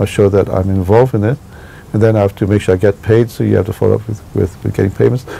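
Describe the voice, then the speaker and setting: Speech comes at a very fast pace with ordinary pitch variation. There is noticeable background noise. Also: man. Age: 60s. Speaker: architect. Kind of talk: interview. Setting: his office. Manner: hesitant, many fillers.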